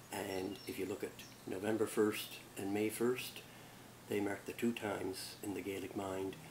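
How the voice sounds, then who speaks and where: Over noticeable background noise, a man speaks fairly slowly in a fairly low pitch with monotone, flat intonation. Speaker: culture educator. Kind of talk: informal lecture. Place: garden. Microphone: camera far.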